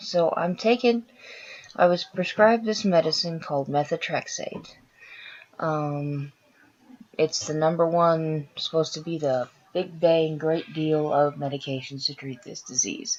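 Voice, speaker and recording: A woman speaks at a fairly slow pace in a very deep, low voice. Her pitch varies in an ordinary way. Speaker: vlogger with chronic illness. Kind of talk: personal health story vlog. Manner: casual, frequent filler sounds.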